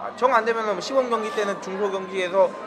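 A man speaks at a high pitch. Noticeable background noise is present. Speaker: podcast host. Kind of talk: casual chat. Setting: cafe with background music.

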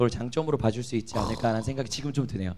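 In a dark, mellow tone, a man speaks with ordinary variation in pitch. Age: 20s. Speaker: startup founder and author. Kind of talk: interview.

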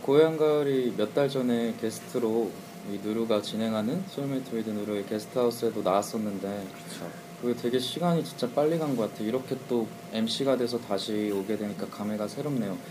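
Against noticeable background noise, a man speaks at a fairly quick pace and medium pitch with ordinary pitch variation. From Suwon, South Korea. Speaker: guest radio DJ, duo singer. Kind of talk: casual radio chat.

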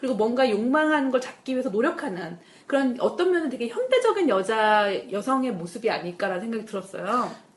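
Speaking at a fairly quick pace with a high pitch, a woman sounds animated, her intonation lively over noticeable background noise. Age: 40s. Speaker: producer and radio host. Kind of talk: casual chat. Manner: animated, jokes and laughs often.

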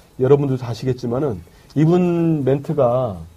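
Against noticeable background noise, a man speaks at a medium pitch with lively intonation. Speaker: journalist, editorial writer. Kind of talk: casual political talk.

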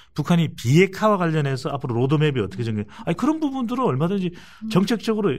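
The speaker's pitch swings very widely while the words come at a very fast pace. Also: man, high pitch for a man. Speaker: polling analyst. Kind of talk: political talk show discussion.

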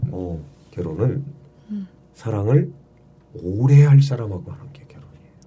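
A man speaks with very wide pitch swings and big jumps in loudness, leaving long, frequent pauses amid audible room echo. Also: medium pitch for a man, moderate pace. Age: 50s. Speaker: comedian. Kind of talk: casual chat.

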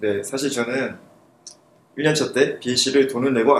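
Speaking at a fairly slow pace, a man uses a plain, everyday voice. His pitch sits in the medium range. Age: 20s. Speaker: university student. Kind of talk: casual chat. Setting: studio.

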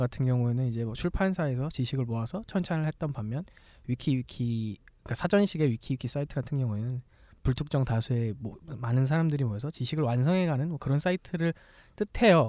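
A man's very fast delivery, fairly high-pitched yet dark and mellow in tone, with lively intonation and a dry, close sound free of echo on a very clean recording with a silent background. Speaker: podcast host. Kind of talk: casual chat.

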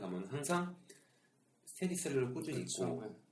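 A man's lively intonation with audible room echo. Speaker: podcast host. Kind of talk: casual chat.

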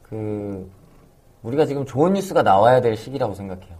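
A man's dark, mellow tone carries lively intonation at a medium pitch. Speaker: podcast producer. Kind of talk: casual chat.

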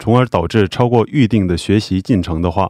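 Against a quiet background, a man with a dark, mellow tone speaks fairly quickly at a fairly low pitch with ordinary pitch variation, the sound dry and close with no echo. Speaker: immigration visa adviser. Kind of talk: Q&A explanation.

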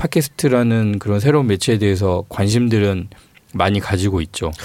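A plain, everyday voice, a man's, fairly low in pitch, at a moderate pace with ordinary pitch variation. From Honam (Jeolla), South Korea. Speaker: newspaper reporter. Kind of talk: casual interview chat. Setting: studio.

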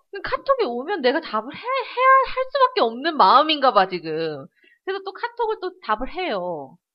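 Big swings in loudness in a woman's moderately paced speech. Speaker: podcast co-host. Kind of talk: casual chat.

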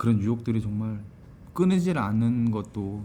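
A man speaks at a fairly low pitch in a dark, mellow tone. Audible room echo surrounds his voice. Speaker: podcast host and stage actor. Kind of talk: interview. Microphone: single shared mic, recorded too quiet.

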